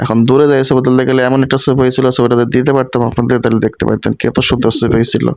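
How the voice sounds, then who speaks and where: Over noticeable background noise, a man at medium pitch talks with monotone, flat intonation and very even loudness. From Kushtia, Bangladesh. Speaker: vlogger. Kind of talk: casual vlog narration. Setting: outdoors.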